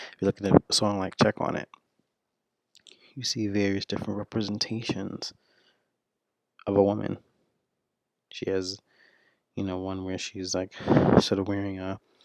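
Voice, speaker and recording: Whispering man at a moderate pace, with big swings in loudness and long, frequent pauses. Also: dry, close sound with no echo. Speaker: video blogger. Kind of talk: solo commentary. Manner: halting.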